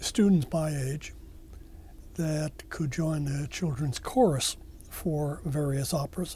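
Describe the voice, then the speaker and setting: Fairly high-pitched and somewhat breathy, a man talks at a fairly slow pace in a dark, mellow tone with fairly even intonation. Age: 80s+. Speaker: war veteran. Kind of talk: oral history interview. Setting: recorded interview at library. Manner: halting, many fillers.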